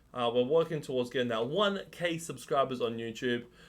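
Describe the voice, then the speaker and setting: A man speaks with an Australian accent at a fairly quick pace. His intonation is lively. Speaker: gaming streamer. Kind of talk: tutorial. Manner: casual with fillers.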